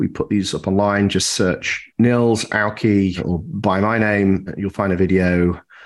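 Here is a man with an ordinary speaking voice. His pitch is fairly low and his intonation fairly even. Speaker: podcast host. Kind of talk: casual interview chat.

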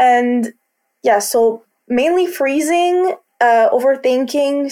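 A woman speaks with a Quebec accent and lively intonation. Her tone is dark and mellow. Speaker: college student. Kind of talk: interview testimony. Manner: halting.

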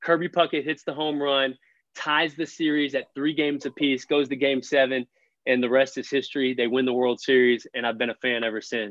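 The man has an unremarkable speaking voice with medium pitch. He talks at a fairly quick pace with fairly even intonation. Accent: American. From Texas, Fort Worth. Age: 30s. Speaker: young adult ministry leader. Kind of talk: podcast interview.

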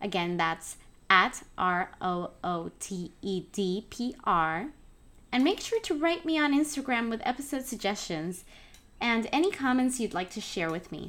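A woman talks in a Puerto Rican accent at a fairly slow pace, her fairly high pitch swinging very widely. The recording is very clean, with a silent background. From Puerto Rico, San Juan. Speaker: podcast host, gardening. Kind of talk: scripted introduction.

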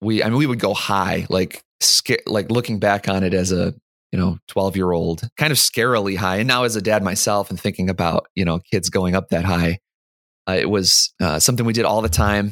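With a plain, everyday voice, a man speaks at a fairly low pitch and a fairly quick pace, with ordinary pitch variation and very even loudness. The sound is dry and close with no echo, in a very clean recording with a silent background. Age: 30s. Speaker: software developer and amateur rock climber. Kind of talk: casual interview.

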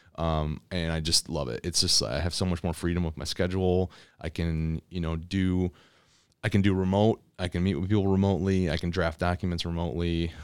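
In an American accent, a man with a very deep, low pitch talks at a fairly quick pace with fairly even intonation, on a very clean recording with a silent background. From Michigan. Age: 40s. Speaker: lawyer and stand-up comedian. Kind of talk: casual chat.

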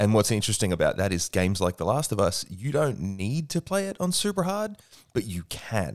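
Against a silent background in a very clean recording, a man with an Australian accent talks at a fairly quick pace, his fairly low pitch swinging very widely. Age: 30s. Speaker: podcast co-host, movie producer. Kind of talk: casual chat. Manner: animated.

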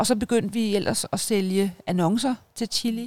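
A woman speaks at a medium pitch in an ordinary speaking voice, with ordinary pitch variation, on a very clean recording with a silent background. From Denmark, North Zealand (Hørsholm). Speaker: media entrepreneur and mother. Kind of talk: interview, personal life story. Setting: outdoors in a garden.

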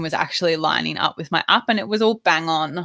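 A woman in an Australian accent speaks with lively intonation, the sound dry and close with no echo on a very clean recording with a silent background. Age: 20s. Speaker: podcast host. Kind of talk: personal story.

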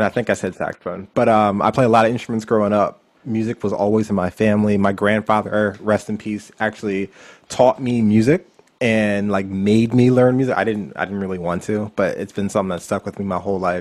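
Here is a plain, everyday voice: a man with an American accent and a fairly low pitch. He speaks at a fairly quick pace with fairly even intonation. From Pennsylvania, Lancaster County. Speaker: wedding DJ. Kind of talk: casual interview chat. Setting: remote recording.

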